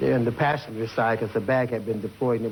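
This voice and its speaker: Over noticeable background noise, a man with an American accent talks at a very fast pace in a medium pitch with fairly even intonation. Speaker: eyewitness. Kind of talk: interview answer.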